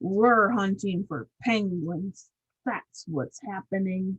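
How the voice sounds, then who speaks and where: In a put-on character voice, a female-sounding speaker growls gruffly at a medium pitch. The pace is very slow. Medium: read story.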